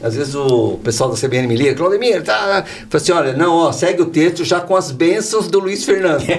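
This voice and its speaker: With noticeable background noise behind him, a man talks at a fairly quick pace with hardly any pauses, using a high pitch and lively intonation. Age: 60s. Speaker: insurance company founder. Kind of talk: podcast interview. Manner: animated.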